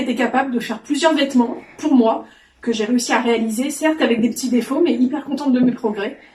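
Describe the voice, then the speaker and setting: A woman talks fairly quickly, her pitch high and her intonation fairly even. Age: 40s. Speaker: sewing trainee. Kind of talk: testimony.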